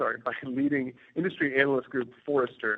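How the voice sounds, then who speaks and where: An ordinary speaking voice from a man, medium in pitch, with an American accent, fairly even intonation and a fairly quick pace. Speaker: company CEO. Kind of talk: investor presentation. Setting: conference call. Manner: formal.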